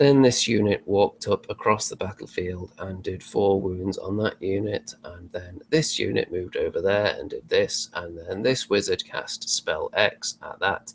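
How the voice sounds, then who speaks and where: A raspy, put-on character voice from a man, at a moderate pace with hardly any pauses. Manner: monotone, dull.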